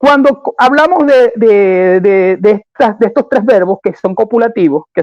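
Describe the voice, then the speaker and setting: The man's intonation is lively at a fairly slow pace. The sound is dry and close, with no echo. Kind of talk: debate. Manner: deliberately slowed.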